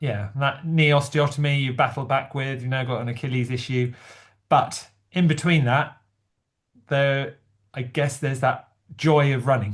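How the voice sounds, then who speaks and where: Moderate pace, a somewhat breathy voice, and long, frequent pauses, all over a quiet background. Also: man, fairly high pitch for a man. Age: 60s. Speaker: amateur runner and chat host. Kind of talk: casual chat. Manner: halting.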